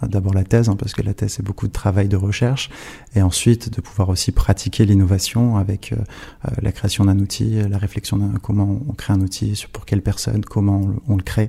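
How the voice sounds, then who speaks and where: Fairly quick delivery from a man, fairly low in pitch, his intonation fairly even. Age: 20s. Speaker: lawyer. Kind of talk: interview. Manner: halting.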